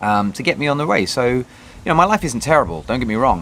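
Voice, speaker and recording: With a British accent, a man talks at a fairly quick pace against noticeable background noise. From Britain. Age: 30s. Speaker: vlogger. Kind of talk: personal video diary. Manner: halting, many fillers.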